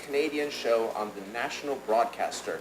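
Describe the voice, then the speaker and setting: A man with an American accent talks at a moderate pace with ordinary pitch variation. Noticeable background noise and audible room echo fill the recording. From United States. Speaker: professor, audience questioner. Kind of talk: audience question at conference. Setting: conference with audience. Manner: halting, many fillers.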